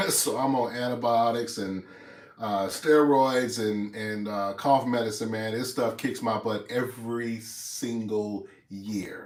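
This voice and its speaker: Audible room echo surrounds a man whose medium-pitched voice keeps a fairly even intonation. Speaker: YouTuber. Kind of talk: casual chat to viewers, livestream. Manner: hesitant with many fillers.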